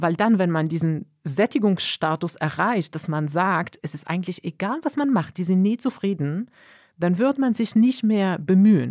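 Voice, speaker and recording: In a very clean recording with a silent background and a dry, close sound with no echo, a woman speaks at a medium pitch and moderate pace with an animated tone and lively intonation. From Morocco. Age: 40s. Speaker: manager. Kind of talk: interview.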